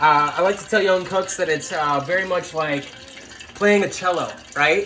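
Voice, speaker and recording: Light background noise behind a man's high pitch at a fairly quick pace. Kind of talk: tutorial. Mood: relaxed, playful. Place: kitchen.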